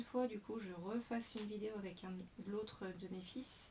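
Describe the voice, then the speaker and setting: At a moderate pace, a woman talks with a somewhat breathy voice. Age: 40s. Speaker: scrapbooking demonstrator. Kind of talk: craft tutorial. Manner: hesitant, many fillers.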